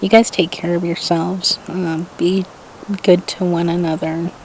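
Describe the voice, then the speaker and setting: Soft-spoken and fairly low in pitch, a woman talks at a fairly slow pace with fairly even intonation against noticeable background noise. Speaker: vlogger. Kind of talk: casual vlog talk to camera. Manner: quiet, soft-spoken.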